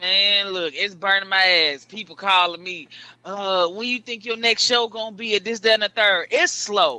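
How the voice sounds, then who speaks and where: A man's high-pitched voice, raised and projected, bright and sharp in tone, with ordinary pitch variation. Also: moderate pace. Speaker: comedian. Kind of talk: casual chat.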